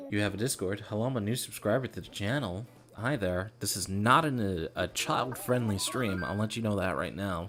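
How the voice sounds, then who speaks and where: Over music in the background, a man with a fairly low pitch talks at a moderate pace with hardly any pauses and ordinary pitch variation. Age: 20s. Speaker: gaming streamer. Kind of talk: live stream commentary. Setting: home, others in nearby rooms. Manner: casual, filler-heavy; speaking quieter than usual.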